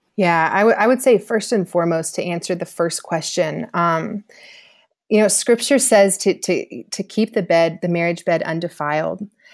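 A woman with an American accent talks at a moderate pace in a normal speaking voice, her pitch fairly low with ordinary variation. The recording is very clean, with a silent background. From US South, Georgia. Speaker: author and former soccer player. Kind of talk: podcast interview testimony.

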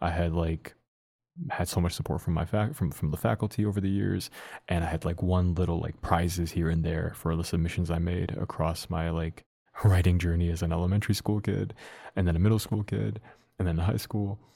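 Very deep and low in pitch, a man with an American accent talks at a fairly quick pace in a dark, mellow tone. The recording is very clean, with a silent background. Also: ordinary pitch variation. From US Midwest, Dearborn, Michigan. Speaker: poet and community organizer. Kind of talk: casual interview.

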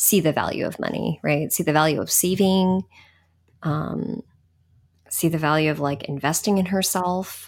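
A woman with an American accent has an ordinary speaking voice, fairly low in pitch, with ordinary pitch variation. She talks at a fairly slow pace on a very clean recording with a silent background. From California, San Jose area. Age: 30s. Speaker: international development worker. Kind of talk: casual chat.

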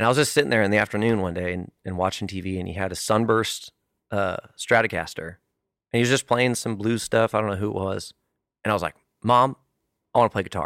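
A man with an American accent and fairly low pitch, very fast pace with long, frequent pauses, ordinary pitch variation, very clean recording with a silent background. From California. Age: 30s. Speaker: country musician. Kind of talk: casual chat.

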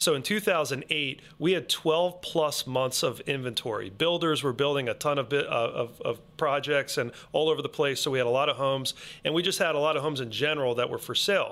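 An unremarkable speaking voice at a fairly quick pace, with ordinary pitch variation. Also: man, fairly high pitch for a man. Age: 40s. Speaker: mortgage loan officer. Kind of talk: interview. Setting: studio.

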